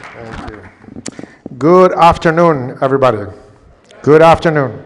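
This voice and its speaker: A man's fairly high pitch at a moderate pace, ordinary pitch variation, and crowd noise in the background. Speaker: engineering college dean. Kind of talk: ceremony speech.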